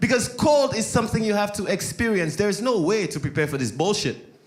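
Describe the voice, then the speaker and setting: A man's high-pitched, very fast speech amid noticeable background noise and audible room echo. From Saint Lucia. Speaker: stand-up comedian. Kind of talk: stand-up. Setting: stage with audience.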